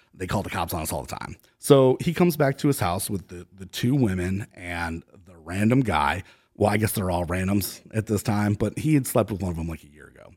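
Speaking in a normal speaking voice with an American accent, a man with a fairly low pitch talks at a fairly quick pace, using lively intonation and big swings in loudness, on a very clean recording with a silent background. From Ohio, US Midwest (Cleveland). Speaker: labor union organizer. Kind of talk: storytelling in casual interview.

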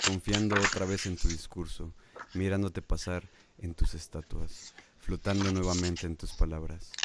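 Fairly even intonation at a fairly slow pace in a Mexican accent, with noticeable background noise. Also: man. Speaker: radio host. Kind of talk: casual chat; poetry reading aloud. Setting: live online stream.

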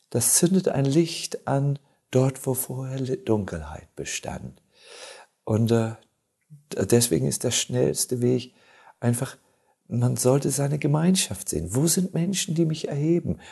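Long, frequent pauses break up this man's very slow speech, delivered at a medium pitch with lively intonation. His tone is dark and mellow, and somewhat breathy. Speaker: monk and spiritual teacher. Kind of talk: casual chat. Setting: studio.

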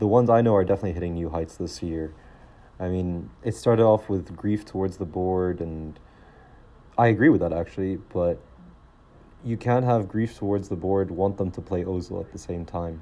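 A man with an American accent speaks at a moderate pace, his pitch very deep and low. His tone is dark and mellow, with ordinary pitch variation. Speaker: podcast host, football fan. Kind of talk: casual podcast monologue. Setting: living in England, recording solo. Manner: informal, chatty.

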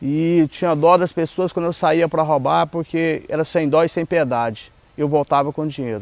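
Using an ordinary speaking voice, a man talks at a moderate pace with fairly high pitch and fairly even intonation, the sound dry and close with no echo. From Goiás, central-west Brazil. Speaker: former drug addict and ex-prisoner in a recovery ministry. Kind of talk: personal testimony.

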